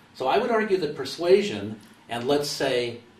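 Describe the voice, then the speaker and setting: This man has an American accent and a fairly high pitch with very wide swings. Audible room echo surrounds his voice. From US. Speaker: communication consultant. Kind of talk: interview. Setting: webcast.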